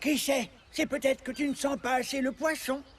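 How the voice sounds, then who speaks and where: A cartoonish character voice pitched high. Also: moderate pace. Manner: polite, earnest.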